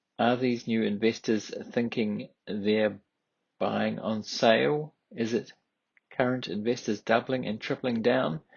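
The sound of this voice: Speaking at a fairly slow pace with fairly even intonation, a man uses a medium pitch marked by vocal fry and a slightly husky edge.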